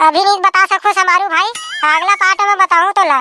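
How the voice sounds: Using a squeaky, cartoonish character voice, a woman speaks at a moderate pace with a dry, close sound and no echo.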